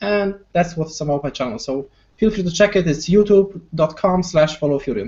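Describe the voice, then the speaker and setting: A man talks fairly quickly with a Polish accent and a high pitch. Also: ordinary pitch variation. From Poland. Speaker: wargaming YouTuber. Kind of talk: casual chat.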